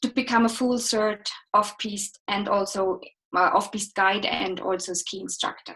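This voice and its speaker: A woman speaks with an Austrian accent. Her voice sits at a medium pitch, and her intonation stays fairly even. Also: moderate pace. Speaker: ski instructor and guide. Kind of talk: interview, live chat.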